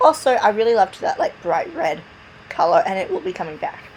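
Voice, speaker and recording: A woman's high voice at a fairly quick pace, with very wide pitch swings over noticeable background noise. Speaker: gaming video creator. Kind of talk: voiceover narration of a build video. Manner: casual, chatty.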